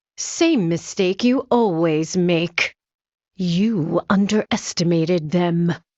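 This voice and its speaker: Putting on a character voice, a woman speaks at a very slow pace in a fairly low pitch. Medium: video game. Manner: terse, dry, deadpan.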